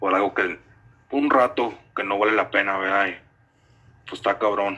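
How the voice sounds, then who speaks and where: Here a man with a fairly low pitch talks at a moderate pace. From Detroit, Michigan, US. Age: 20s. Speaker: guest, friend from work. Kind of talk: casual chat.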